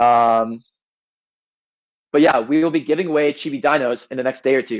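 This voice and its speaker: The man's intonation stays fairly even. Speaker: NFT game team member. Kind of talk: community AMA voice chat. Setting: Discord voice call. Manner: fast.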